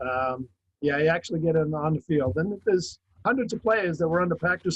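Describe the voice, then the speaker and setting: A man with a normal speaking voice, an American accent, a fairly high pitch and a fairly quick pace. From Massachusetts, Brockton. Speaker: author and football historian. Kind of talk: interview.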